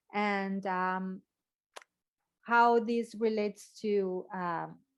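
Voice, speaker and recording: A woman with a non-native accent speaks very slowly in a flat monotone at medium pitch. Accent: foreign. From Mexico City. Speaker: podcast host, health coach. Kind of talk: casual chat.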